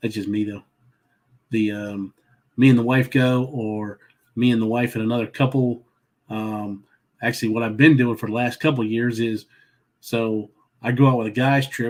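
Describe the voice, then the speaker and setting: A man with a Southern accent, medium pitch, monotone, flat intonation and long, frequent pauses. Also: moderate pace. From Southern Maryland. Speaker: travel vlogger. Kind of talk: casual chat. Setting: livestream. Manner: halting.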